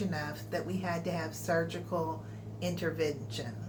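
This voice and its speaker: A woman with an American accent talks amid audible room echo and noticeable background noise. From Texas. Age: 60s. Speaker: vlogger. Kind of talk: personal health vlog.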